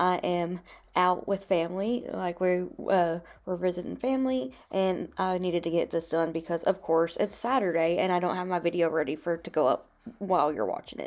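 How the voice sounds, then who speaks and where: A quiet, raspy put-on character voice from a woman, fairly low in pitch, fairly quick, with ordinary pitch variation. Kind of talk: casual, chatty tutorial. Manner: speaking quietly.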